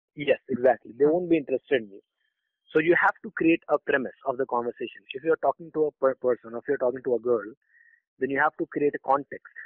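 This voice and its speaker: A man talks very fast at a fairly high pitch with ordinary pitch variation. His loudness rises and falls sharply. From India, Patna (Bihar). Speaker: dating coach. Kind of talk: interview.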